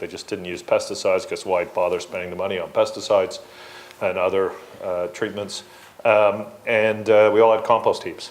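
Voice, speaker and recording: There is noticeable background noise. A man speaks over it at a moderate pace. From England. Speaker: environmental advocate and former elected official. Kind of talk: panel discussion.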